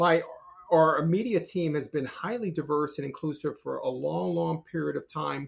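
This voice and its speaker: Here a man talks with an American accent at a moderate pace. His voice is fairly high in pitch. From New York City area, Scarsdale suburb. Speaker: corporate lawyer. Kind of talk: interview conversation. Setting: podcast recording. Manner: halting, many repetitions and fillers.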